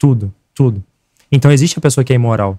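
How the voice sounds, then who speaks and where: Recorded dry and close with no echo, a man talks at a fairly quick pace with lively intonation. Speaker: political activist. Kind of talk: podcast debate. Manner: animated.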